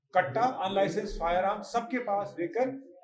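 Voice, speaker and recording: A man speaks with a high pitch. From Uttarakhand, Khatima area. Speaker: farmer. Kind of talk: news interview statement.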